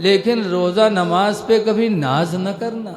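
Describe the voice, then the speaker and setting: Noticeable background noise runs behind this recording. The man speaking has a high-pitched voice. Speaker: Islamic religious preacher. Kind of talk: religious sermon to a gathering. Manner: humorous, folksy.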